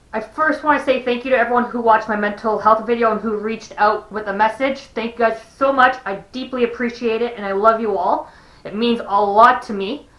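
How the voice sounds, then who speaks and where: A woman speaks fairly quickly with fairly even intonation against noticeable background noise. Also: fairly high pitch for a woman. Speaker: vlogger. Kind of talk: personal vlog. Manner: halting, with pauses and repeats.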